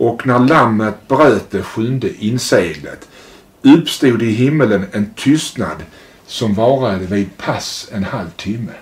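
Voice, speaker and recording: Lively intonation at a very slow pace. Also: man. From Sweden, Malmö; Sweden. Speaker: interviewer. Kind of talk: interview. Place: home room. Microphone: lapel.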